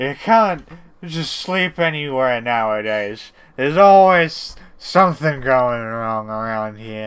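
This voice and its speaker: In a very clean recording with a silent background, a man puts on a rumbling character voice at a medium pitch, speaking at a fairly slow pace with big swings in loudness. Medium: actual play. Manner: slow, stumbling over words.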